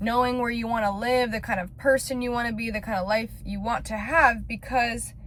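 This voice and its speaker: This woman talks in a normal speaking voice with an American accent. Her pitch is fairly high. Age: 20s. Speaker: lifestyle vlogger. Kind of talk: personal vlog monologue.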